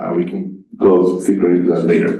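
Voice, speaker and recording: With a Spanish accent and ordinary pitch variation, a man talks at a moderate pace amid audible room echo. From Colombia. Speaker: material scientist, panelist. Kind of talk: panel discussion.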